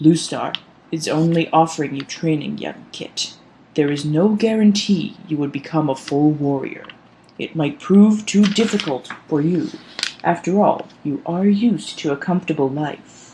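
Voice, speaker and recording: Using a put-on character voice at a middle pitch, the speaker goes at a moderate pace. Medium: read story. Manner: stern.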